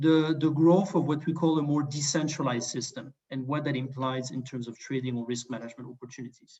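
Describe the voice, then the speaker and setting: Fairly quick delivery with hardly any pauses. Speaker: management consultant presenting on energy markets. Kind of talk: webinar presentation. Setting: online webinar. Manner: fast.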